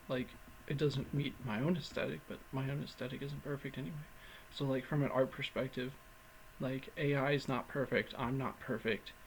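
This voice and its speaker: A man speaks at medium pitch. His is an unremarkable speaking voice. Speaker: vlogger. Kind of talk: casual vlog monologue. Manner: rambling with filler words.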